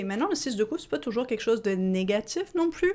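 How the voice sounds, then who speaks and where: A woman speaks in an animated tone at a fairly high pitch. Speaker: tarot reader. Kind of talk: tarot reading. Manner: fast.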